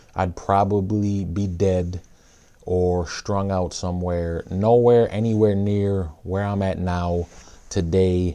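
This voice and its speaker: This man talks in a monotone, flat intonation with a dark, mellow tone. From Minnesota, US (Saint Paul). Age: 30s. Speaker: rapper and youth pastor. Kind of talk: personal testimony talk. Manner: hesitant, many fillers.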